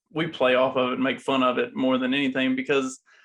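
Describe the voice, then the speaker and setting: A man with a Southern US accent, medium in pitch, at a fairly quick pace with ordinary pitch variation. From US South, small river town. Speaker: podcast co-host appearing as guest. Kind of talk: casual chat.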